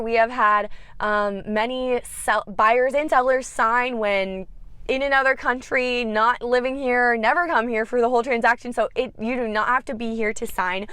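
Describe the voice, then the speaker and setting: This woman speaks at a high pitch with ordinary pitch variation. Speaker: real estate agent. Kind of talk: tutorial. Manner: fast.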